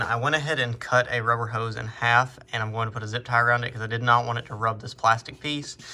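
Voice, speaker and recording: At a very fast pace, a man with a bright, sharp tone and medium pitch speaks in a monotone, flat intonation. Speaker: automotive mechanic vlogger. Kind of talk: tutorial; casual vlog chat.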